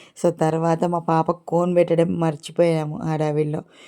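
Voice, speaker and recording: A woman speaks with a fairly low pitch. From Telangana. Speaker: vlogger. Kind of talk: casual vlog narration.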